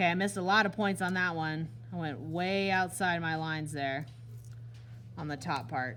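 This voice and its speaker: A woman with a very deep, low pitch, a bright, sharp tone and lively intonation, at a moderate pace with long, frequent pauses, amid audible room echo. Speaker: art teacher. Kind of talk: classroom demonstration tutorial. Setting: classroom with students.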